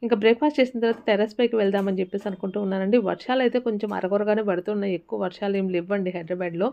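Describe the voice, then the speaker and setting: Using a normal speaking voice, a woman holds a medium pitch and keeps her intonation fairly even. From Rayalaseema, Andhra Pradesh. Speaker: homemaker vlogger. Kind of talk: casual vlog narration. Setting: at home.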